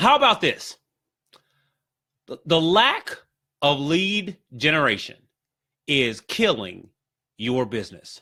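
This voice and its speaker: Speaking very slowly with long, frequent pauses, this man has a fairly high pitch, very wide pitch swings and a bright, sharp tone. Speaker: digital marketing consultant. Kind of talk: live stream talk to group. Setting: Facebook live stream. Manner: many fillers and repetitions.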